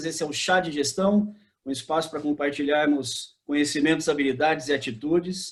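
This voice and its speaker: This man has an unremarkable speaking voice, pitched fairly high, with fairly even intonation and a fairly quick pace. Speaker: business administrator and consultant. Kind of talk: podcast host introduction.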